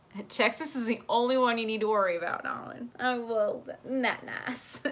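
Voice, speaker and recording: Noticeable background noise behind a woman's fairly high voice, with ordinary pitch variation, at a moderate pace. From South Africa in early childhood, then elsewhere. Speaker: YouTuber live-streaming chat with viewers. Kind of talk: casual livestream chat. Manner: animated.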